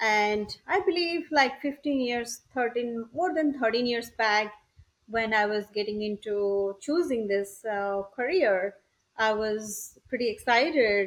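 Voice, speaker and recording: The speaker goes at a very slow pace with lively intonation. The background is quiet. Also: woman, fairly high pitch for a woman. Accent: Indian. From India, Odisha. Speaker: entrepreneur. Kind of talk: interview.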